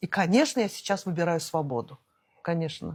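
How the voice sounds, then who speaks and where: Lively intonation in a somewhat breathy voice. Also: woman. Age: 60s. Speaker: entrepreneur and traveller. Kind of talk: interview. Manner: hesitant, many fillers.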